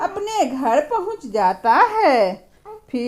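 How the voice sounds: Someone reads in a natural reading voice.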